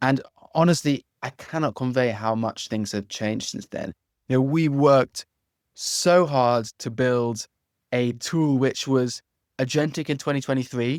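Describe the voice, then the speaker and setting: With an English accent, a man speaks at a fairly slow pace with ordinary pitch variation, the recording very clean with a silent background and a dry, close sound with no echo. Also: medium pitch for a man. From London, England. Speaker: legal tech founder, former antitrust lawyer. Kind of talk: interview podcast.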